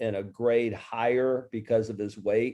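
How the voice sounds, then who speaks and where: A man's voice with a dark, mellow tone. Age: 60s. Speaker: business coach and author. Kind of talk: interview.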